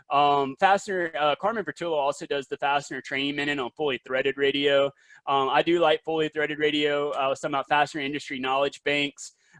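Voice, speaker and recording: Talking at a very fast pace in a Southern US accent, a man holds a fairly high pitch with fairly even intonation, his sound dry and close with no echo against a quiet background. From US South, South Carolina. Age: young. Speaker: industry presenter. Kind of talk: webinar presentation. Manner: hesitant, many fillers.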